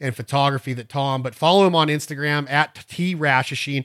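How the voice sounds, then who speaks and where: A man with a fairly high voice talks at a fairly quick pace, the sound dry and close with no echo. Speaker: duck call instructor, podcast host. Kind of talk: tutorial. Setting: studio. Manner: fast; animated.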